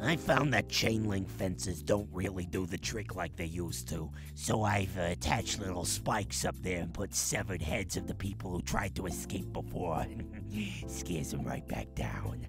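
Over loud background music, a man puts on a cartoonish character voice with a very deep, low pitch. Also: moderate pace. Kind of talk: comedic advice hotline. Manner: chatty, gleeful.

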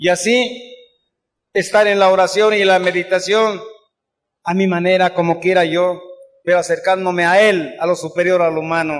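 The speaker keeps a moderate pace and fairly even intonation, with long, frequent pauses against a quiet background. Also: man, high pitch for a man. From Mexico City. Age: 80s+. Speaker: recovering alcoholic speaker at AA event. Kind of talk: testimony. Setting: stage with audience. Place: hall.

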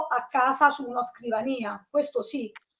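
In a quiet background, a woman talks at a fairly slow pace with a high pitch and fairly even intonation. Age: 30s. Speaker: online university student. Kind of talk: interview. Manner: halting. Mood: friendly, positive. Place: home room. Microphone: video call.

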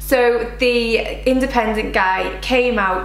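A woman is heard with audible room echo and faint music in the background. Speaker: home vlogger. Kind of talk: casual vlog chat. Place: kitchen.

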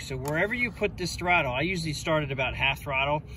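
There is light background noise and a dry sound with no echo as a man speaks. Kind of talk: tutorial. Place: street. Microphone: phone near.

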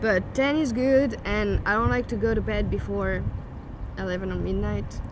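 Noticeable background noise surrounds a woman speaking at a fairly slow pace with a French accent. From France. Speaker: YouTuber. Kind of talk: casual chat. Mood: relaxed, thoughtful. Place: garden.

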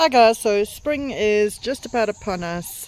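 A woman's voice, recorded dry with no echo at all. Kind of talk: casual vlog chat. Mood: cheerful, relaxed. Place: garden. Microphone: phone near.

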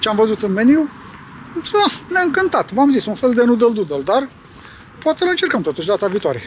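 Very fast talking from a man with very wide pitch swings, over noticeable background noise. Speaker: vlogger. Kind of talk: casual vlog chat. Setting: shopping centre.

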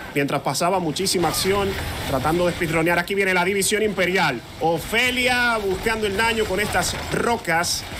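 Over noticeable background noise, a man with a high pitch uses a raised, projected voice and an energetic tone, keeping very even loudness and ordinary pitch variation at a moderate pace. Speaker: esports play-by-play caster. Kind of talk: live esports play-by-play commentary. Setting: streamed esports broadcast. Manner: rhythmic and energetic, hyping the crowd.

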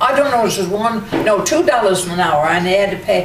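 The speech runs at a fairly quick pace against noticeable background noise. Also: woman. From Newfoundland. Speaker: oral history interviewee. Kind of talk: interview answer. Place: home room. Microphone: camera far.

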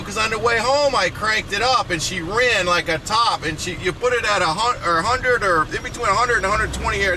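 Noticeable background noise runs beneath talking delivered at a fairly quick pace. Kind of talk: casual conversation. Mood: relaxed, joking. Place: car.

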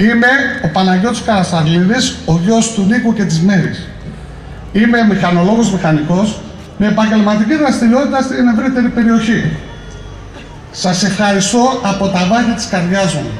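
At a moderate pace with ordinary pitch variation, the voice carries audible room echo and light background noise. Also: man, high pitch for a man. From Greece, Skydra (Pella, Macedonia); Greece. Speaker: mayoral candidate, politician; candidate, politician. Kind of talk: campaign speech. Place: street. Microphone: podium.

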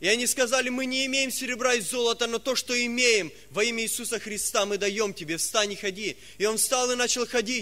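A man speaks in a raised, projected voice at a fairly quick pace, his intonation fairly even. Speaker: preacher. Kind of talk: sermon. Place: church. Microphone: podium.

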